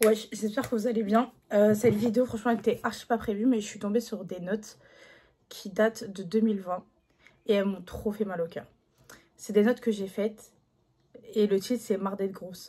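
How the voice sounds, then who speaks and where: A woman speaks at a moderate pace in a dark, mellow, somewhat breathy tone, with long, frequent pauses. Her intonation is monotone and flat, and her loudness swings widely. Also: fairly high pitch for a woman. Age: 20s. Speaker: YouTuber. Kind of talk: casual talk to camera.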